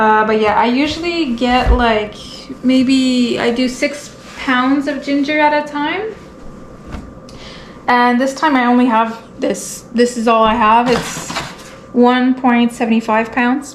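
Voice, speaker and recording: With a Quebec accent, a woman talks at a very slow pace in a high pitch with fairly even intonation and long, frequent pauses, while noticeable background noise and audible room echo come through. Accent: French-Canadian accent in English. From Quebec, French Canada. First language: French. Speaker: homesteading vlogger and tattoo artist. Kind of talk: casual vlog tutorial. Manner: halting, searching for words; monotone.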